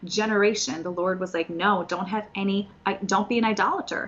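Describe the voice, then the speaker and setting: Over background music, a woman talks at a fairly quick pace. Her pitch is medium. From Soviet Union, raised in US from age 4. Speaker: Bible study teacher. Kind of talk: Bible teaching.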